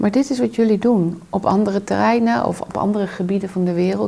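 A woman amid noticeable background noise. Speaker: trauma therapist and coach. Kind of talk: interview conversation. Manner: reflective.

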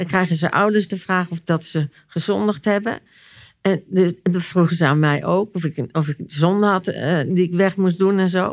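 A woman at a moderate pace, ordinary pitch variation, on a very clean recording with a silent background. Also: fairly low pitch for a woman. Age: 60s. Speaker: therapist and author. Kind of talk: personal testimony in interview. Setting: at her home. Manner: halting, repeating words.

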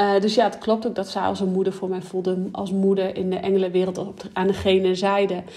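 The pace of this woman's speech is moderate. Her tone is dark and mellow. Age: 30s. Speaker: podcast host and business coach. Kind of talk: solo podcast monologue. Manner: animated.

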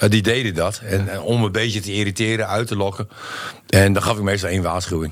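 Very fast male speech, fairly low in pitch, with fairly even intonation and noticeable background noise. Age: 40s. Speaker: football pundit, former player. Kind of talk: casual chat.

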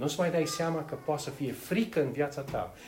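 A fairly high-pitched male voice amid noticeable background noise and audible room echo. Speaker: preacher. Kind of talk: sermon. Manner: halting.

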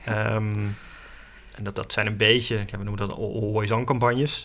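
A man speaks at a fairly low pitch with vocal fry and monotone, flat intonation. Room echo is audible. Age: 30s. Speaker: online marketing adviser at a nature charity. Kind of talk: interview. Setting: outdoors in a forest. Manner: hesitant, many fillers.

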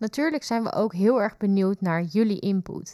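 The recording is very clean with a silent background. A woman with a plain, everyday voice speaks at a medium pitch and moderate pace, with ordinary pitch variation. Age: 20s. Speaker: youth nurse and podcast co-host. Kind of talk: podcast introduction.

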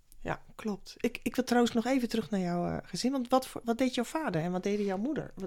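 Speaking at a fairly quick pace, a woman with a dark, mellow tone uses lively intonation. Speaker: podcast host, former teacher and coach. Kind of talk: interview.

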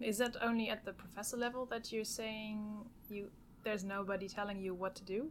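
Here is a woman with an unremarkable speaking voice and a fairly high pitch. She talks fairly quickly with fairly even intonation. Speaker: podcast host. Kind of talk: podcast intro and interview. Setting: podcast recording room.

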